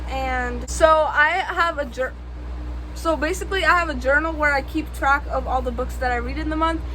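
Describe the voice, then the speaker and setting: Against noticeable background noise and audible room echo, a woman talks at a moderate pace. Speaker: book vlogger. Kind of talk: casual vlog monologue. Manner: loud.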